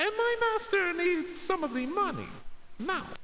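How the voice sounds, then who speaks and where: In a put-on character voice, a man talks at a moderate pace with an extremely high, squeaky pitch over clear background noise. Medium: game stream. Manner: nervous, stammering.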